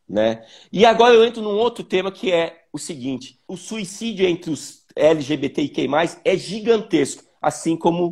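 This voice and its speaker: A man at a fairly slow pace. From Joinville, Santa Catarina, southern Brazil. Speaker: visual artist. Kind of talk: interview. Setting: video call.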